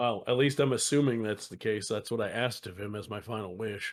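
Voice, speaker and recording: In a raspy, put-on character voice of medium pitch, a man talks at a fairly quick pace with fairly even intonation and big swings in loudness, on a very clean recording with a silent background. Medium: actual play. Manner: dry, composed.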